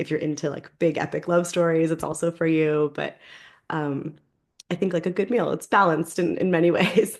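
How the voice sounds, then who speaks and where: A woman with an American accent, a normal speaking voice, fairly low pitch, fairly even intonation, and a fairly quick pace over a quiet background. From New York, US. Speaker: novelist. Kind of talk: interview.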